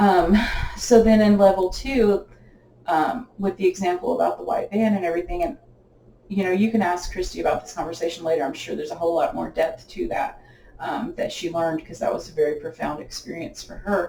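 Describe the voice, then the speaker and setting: Noticeable background noise sits under words delivered at a fairly quick pace. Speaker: spiritual medium. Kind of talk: spiritual teaching session. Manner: fast.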